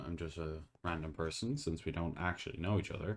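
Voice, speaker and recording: A man with an Irish accent speaks at a very deep, low pitch. His voice is somewhat breathy and his pace fairly quick. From Ireland. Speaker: gaming YouTuber. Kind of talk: casual chat. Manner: halting; soft-spoken.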